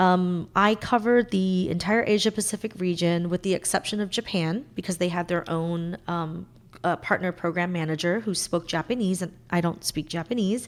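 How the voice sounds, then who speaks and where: This woman talks at a moderate pace. Her voice sits fairly low, with ordinary pitch variation. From US, Cambodian-American family. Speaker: tech consultant, former partner program manager. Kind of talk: casual interview chat. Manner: hesitant, many fillers.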